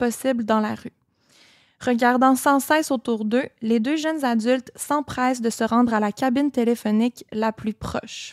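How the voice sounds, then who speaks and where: Recorded dry and close with no echo, a woman with a Quebec accent speaks at a moderate pace, her high voice showing ordinary pitch variation. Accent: Québécois. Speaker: podcast co-host. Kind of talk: true crime storytelling; casual chat.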